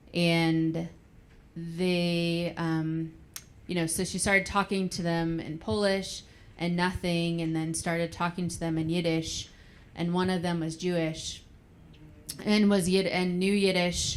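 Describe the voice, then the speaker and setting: A woman's fairly low voice in a monotone, flat intonation at a fairly slow pace. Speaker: grandchild of Holocaust survivor. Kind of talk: panel discussion. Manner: loud.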